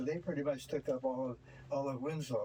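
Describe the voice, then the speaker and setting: Noticeable background noise sits behind a man speaking. His pitch is fairly high, and he has a Pacific Northwest accent. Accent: American Pacific Northwest. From US Pacific Northwest, Washington. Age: 90s. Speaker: local history tour guide. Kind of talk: guided tour talk. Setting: on a tour bus. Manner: halting, many fillers.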